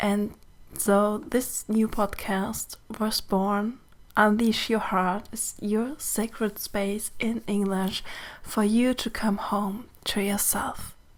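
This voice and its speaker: A woman with a German accent speaks very slowly in a fairly high pitch, her intonation monotone and flat. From Germany. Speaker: mentor and podcast host. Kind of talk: podcast monologue. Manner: gentle, warm.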